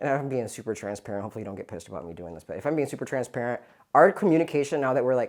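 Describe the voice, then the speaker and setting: With vocal fry, very wide pitch swings and big swings in loudness, a man talks at a very fast pace. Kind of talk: interview conversation. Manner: casual, many fillers.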